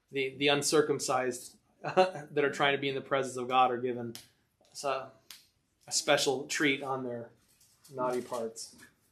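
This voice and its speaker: A man's medium-pitched, monotone, flat delivery at a fairly slow pace, with audible room echo. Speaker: Bible study teacher. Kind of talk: Bible class discussion. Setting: church.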